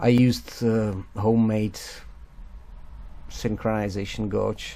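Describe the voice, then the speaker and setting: A very slow, monotone and flat male voice, fairly low in pitch, with a dark, mellow tone. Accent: non-native. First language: not English. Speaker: motorcycle restorer. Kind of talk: casual talk to camera. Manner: hesitant, halting.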